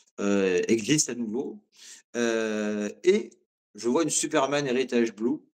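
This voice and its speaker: With long, frequent pauses, a man speaks at a very slow pace in a medium pitch with ordinary pitch variation. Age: 40s. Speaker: watch collector. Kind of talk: interview. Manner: hesitant, many fillers.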